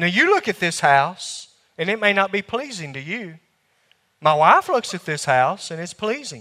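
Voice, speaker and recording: A man with a Southern US accent speaks in a high voice with a bright, sharp tone and lively intonation. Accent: Southern US drawl. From US South. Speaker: preacher. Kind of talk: sermon. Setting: church.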